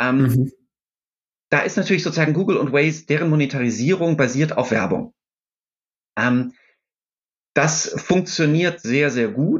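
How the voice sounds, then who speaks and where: A man's fairly high, somewhat breathy voice with lively intonation and very even loudness, at a moderate pace with long, frequent pauses. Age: 50s. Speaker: startup founder and CEO. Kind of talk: interview. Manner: hesitant, many filler sounds.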